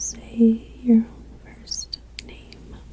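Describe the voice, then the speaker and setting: A gentle, relaxed tone with noticeable background noise. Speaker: ASMR creator. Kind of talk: ASMR game-playing talk to camera. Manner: soft-spoken, gentle, relaxed.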